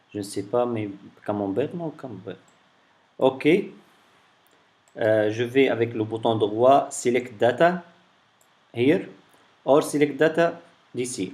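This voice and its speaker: A man of medium pitch talks very slowly, his pitch varying in an ordinary way and his speech broken by long, frequent pauses. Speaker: tech tutorial creator. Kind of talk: tutorial. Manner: halting, many fillers and repetitions.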